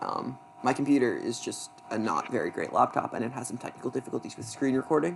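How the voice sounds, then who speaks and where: Noticeable background noise around a man's fairly quick speech. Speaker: debate coach. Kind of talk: lecture. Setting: screen-recorded presentation. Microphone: not very great laptop.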